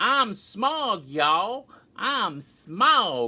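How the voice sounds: A put-on character voice in a Southern US accent, fairly high in pitch with very wide pitch swings, against a quiet background. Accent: genteel southern.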